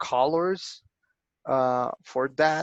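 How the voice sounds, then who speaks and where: A man speaks with a Spanish accent at a medium pitch. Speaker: archaeologist. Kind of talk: lecture Q&A. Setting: online video lecture. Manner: halting, many fillers.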